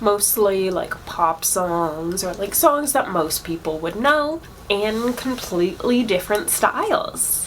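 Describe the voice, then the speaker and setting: Over noticeable background noise, a woman at medium pitch talks at a very slow pace with very wide pitch swings and hardly any pauses. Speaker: drag show host. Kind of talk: live stream show announcements. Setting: online livestream. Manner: casual, stumbling over words.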